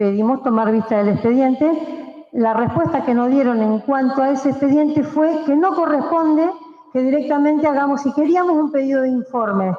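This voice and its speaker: A woman with a high pitch and lively intonation talks while noticeable noise runs behind her. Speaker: city councillor. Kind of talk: council debate speech. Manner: fast.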